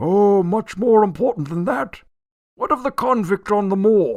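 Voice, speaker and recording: This man does a put-on character voice at a high pitch. He talks at a moderate pace with ordinary pitch variation. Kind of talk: old-fashioned theatrical radio acting. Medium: audio drama. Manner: pompous, blustering, quick to take offence.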